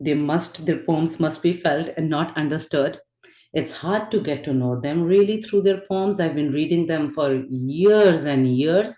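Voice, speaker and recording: In a Pakistani accent, a woman with a dark, mellow, fairly low voice speaks at a fairly slow pace with ordinary pitch variation. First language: Urdu. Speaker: spirituality and poetry teacher. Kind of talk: lecture.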